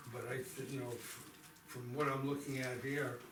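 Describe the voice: Audible room echo surrounds a man speaking at medium pitch and a moderate pace in a fairly bright tone, with little pitch movement.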